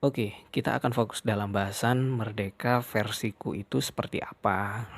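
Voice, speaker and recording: A man speaks at a fairly low pitch and a moderate pace. His intonation stays fairly even, and his loudness is very even. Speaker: podcaster. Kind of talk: podcast monologue. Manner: casual.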